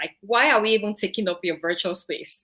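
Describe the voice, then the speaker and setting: Someone speaks with a Nigerian accent in a bright, sharp tone. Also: woman. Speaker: online show co-host. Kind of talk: casual chat.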